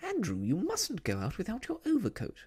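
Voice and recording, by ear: A put-on character voice at a moderate pace, with very wide pitch swings, a slightly mellow tone and a slightly husky edge. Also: man, high pitch for a man.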